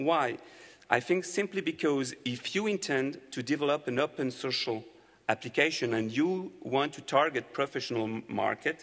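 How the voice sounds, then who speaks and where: In a French accent, a man speaks at a moderate pace with ordinary pitch variation. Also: fairly high pitch for a man. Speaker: company representative presenting to developers. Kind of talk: conference presentation.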